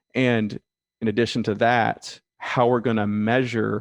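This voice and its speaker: In a dry, close sound with no echo, a man with an American accent delivers his words with monotone, flat intonation. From US South, rural south Georgia. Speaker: management consultant. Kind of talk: interview.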